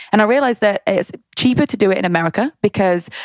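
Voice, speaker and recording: A woman talks at a very fast pace with a British accent. The recording is very clean with a silent background and a dry, close sound with no echo. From England. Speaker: fitness entrepreneur. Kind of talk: interview. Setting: podcast. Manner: animated.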